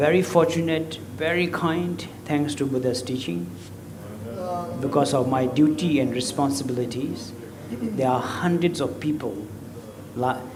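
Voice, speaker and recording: A man speaks at a fairly slow pace with fairly high pitch and ordinary pitch variation, leaving long, frequent pauses. Noticeable background noise and audible room echo are present. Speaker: Buddhist lama. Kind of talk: dharma talk. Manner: talkative.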